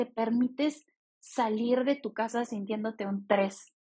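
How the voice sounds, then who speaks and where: Somewhat breathy and fairly high in pitch, a woman speaks at a very slow pace with fairly even intonation. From Mexico. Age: 30s. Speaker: podcast host and business coach. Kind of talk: solo podcast monologue.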